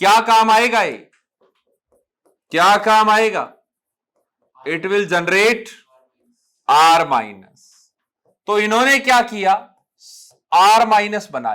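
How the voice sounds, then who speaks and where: Using a raised, projected voice, a man speaks with a bright, sharp tone, high pitch, ordinary pitch variation and long, frequent pauses. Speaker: chemistry teacher. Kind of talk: classroom lecture. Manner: Hindi-English code-mixed.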